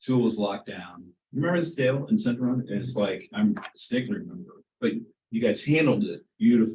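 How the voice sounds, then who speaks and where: A man's dark, mellow, somewhat breathy voice with an American accent, very wide pitch swings and a fairly quick pace. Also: medium pitch for a man. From Kansas, Wichita. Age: 70s. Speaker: community member speaking at public meeting. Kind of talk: public comment at board meeting.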